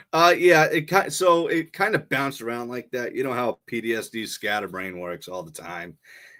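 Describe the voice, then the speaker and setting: A man with a Boston accent speaks at a moderate pace in a bright, sharp tone, his pitch swinging very widely, on a very clean recording with a silent background. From Boston area, Massachusetts. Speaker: Marine veteran and podcaster. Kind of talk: casual interview chat.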